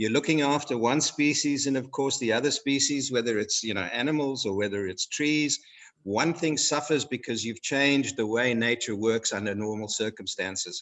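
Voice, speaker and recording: A man speaks with a Zimbabwean accent at a moderate pace. He hardly pauses at all. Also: medium pitch for a man, ordinary pitch variation. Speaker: guest speaker. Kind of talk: educational talk for schoolchildren. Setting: video call. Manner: hesitant, many fillers.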